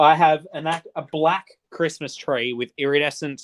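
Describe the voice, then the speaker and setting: A man with an Australian accent. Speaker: livestreamer. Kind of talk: casual chat. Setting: livestream.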